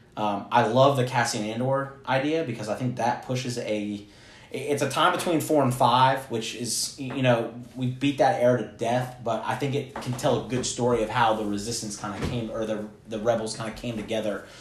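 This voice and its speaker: The man's voice has a medium pitch, fairly even intonation and a moderate pace. Noticeable background noise and audible room echo are present. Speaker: podcast co-host. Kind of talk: casual chat.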